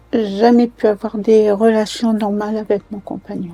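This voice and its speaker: Music plays behind a woman speaking at a very slow pace. Her fairly high voice stays monotone and flat. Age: 80s+. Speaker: retired nursing home supervisor; cancer survivor. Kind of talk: documentary interview answer.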